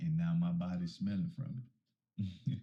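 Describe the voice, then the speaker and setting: A man speaks at a moderate pace in a dark, mellow, somewhat breathy tone, his pitch swinging very widely. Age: 30s. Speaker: podcast guest. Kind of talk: casual chat.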